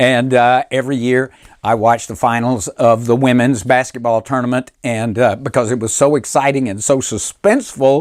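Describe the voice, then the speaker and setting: With a Southern US accent and fairly even intonation, a man speaks with hardly any pauses in a very clean recording against a silent background. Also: medium pitch for a man, moderate pace. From US South, Mississippi. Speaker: motivational speaker and humorist. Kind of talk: humorous keynote speech. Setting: recorded virtual presentation.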